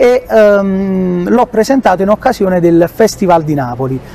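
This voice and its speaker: At a moderate pace, a man speaks with noticeable background noise around him. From southern Italy, Ercolano near Naples. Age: 30s. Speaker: singer. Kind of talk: interview. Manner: halting.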